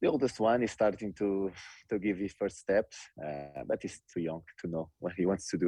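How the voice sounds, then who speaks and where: In a Portuguese accent, a man speaks with a fairly low pitch and a dark, mellow tone. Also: ordinary pitch variation, moderate pace. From Portugal. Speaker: professional footballer. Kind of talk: interview.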